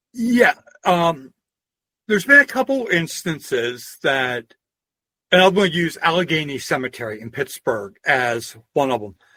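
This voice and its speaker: A man's fairly high, bright and sharp voice in a Pennsylvania accent, at a fairly slow pace. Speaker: historian and folklorist. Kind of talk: interview. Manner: casual, anecdotal.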